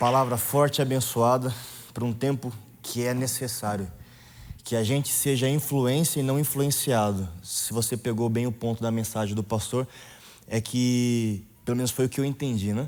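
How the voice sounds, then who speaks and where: With fairly even intonation, a man talks at a moderate pace in an ordinary speaking voice. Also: medium pitch for a man. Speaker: youth leader. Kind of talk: sermon.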